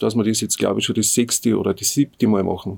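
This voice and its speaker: A man speaks at a medium pitch with fairly even intonation. The recording is very clean, with a silent background. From Upper Austria, Innviertel. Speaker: folk musician and music teacher. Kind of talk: interview. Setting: studio. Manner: halting, many filler sounds.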